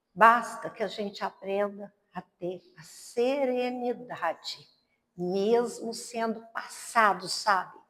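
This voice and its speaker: Speaking at a very slow pace, a woman uses a fairly high pitch, and her loudness swings widely. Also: fairly even intonation. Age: 60s. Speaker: spiritist lecturer. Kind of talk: sermon.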